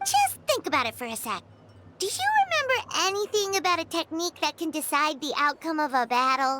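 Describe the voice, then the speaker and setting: A put-on character voice with a high pitch moves along at a fairly quick pace. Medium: video game. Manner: casual, friendly.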